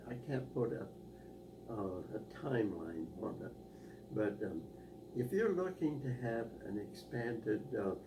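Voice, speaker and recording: With an American accent, a man of medium pitch speaks at a very slow pace with very wide pitch swings amid noticeable background noise. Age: 80s+. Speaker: war veteran. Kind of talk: interview answer. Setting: home interview.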